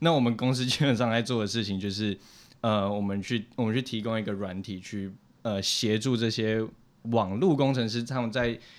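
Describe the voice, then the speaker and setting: On a very clean recording with a silent background, a man speaks in a normal speaking voice. His pitch is medium, his pace moderate and his intonation fairly even. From Taiwan. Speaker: software engineer. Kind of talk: casual interview.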